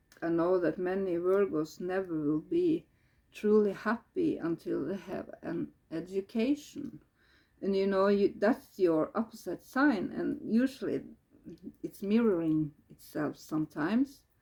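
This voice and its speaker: The speaker has a Norwegian accent. The pace is fairly slow. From Norway. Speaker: tarot reader. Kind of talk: tarot reading. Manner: halting.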